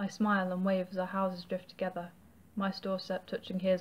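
This is an unforced reading voice. It is heard here on its own.

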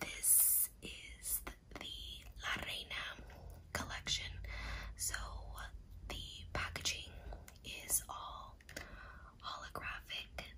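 Someone whispers, soft-spoken and very slow, with long, frequent pauses. Noticeable background noise runs underneath. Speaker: ASMR creator. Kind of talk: soft-spoken ASMR unboxing chat. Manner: soft close ASMR whisper.

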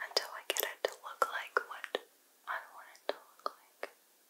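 A soft-spoken woman whispering at a moderate pace. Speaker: ASMR content creator. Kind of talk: soft-spoken makeup tutorial chat. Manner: soft ASMR whisper, close mic. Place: home room.

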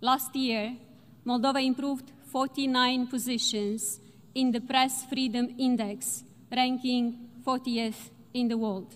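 Here a woman speaks at a high pitch. Her delivery is monotone and flat. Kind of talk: formal speech. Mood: determined, measured. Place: hall. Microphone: podium.

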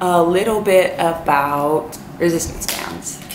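Amid light background noise, a woman speaks with audible room echo. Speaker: fitness vlogger. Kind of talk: casual vlog tutorial. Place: home room. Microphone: camera far.

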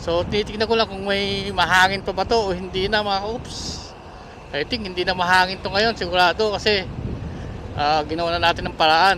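Amid noticeable background noise, a man with a high pitch uses a raised, projected voice at a moderate pace, with fairly even intonation and long, frequent pauses. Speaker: motovlogger. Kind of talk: vlog talk.

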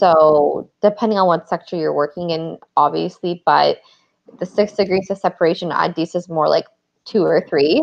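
A woman with an American accent, fairly low pitch and vocal fry, fairly even intonation and a moderate pace over a quiet background. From Southern California, Los Angeles area; California. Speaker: event planner and entrepreneur; podcast guest. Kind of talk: interview. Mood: calm, conversational. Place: home room. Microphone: earbuds.

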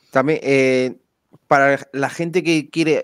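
A man speaks in an unremarkable speaking voice with fairly even intonation. The background is quiet. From Spain. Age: 30s. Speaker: podcast host. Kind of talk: interview. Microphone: headset.

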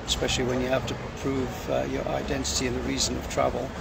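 A man talks at a fairly quick pace, the sound dry with no echo. Loud background noise runs behind him. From UK. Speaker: airline pilot vlogger. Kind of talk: casual live video chat. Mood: relaxed, friendly. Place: station. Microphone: phone near.

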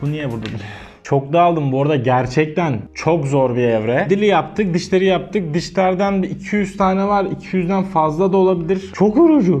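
A man talks at a moderate pace. Faint music sits in the background. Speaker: craft content creator. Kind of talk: casual vlog chat. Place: studio. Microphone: lapel.

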